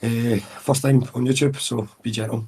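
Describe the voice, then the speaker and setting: A man with a Scottish accent speaks at a moderate pace with fairly even intonation, recorded very cleanly against a silent background. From Scotland, near Glasgow. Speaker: podcast guest. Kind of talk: casual chat.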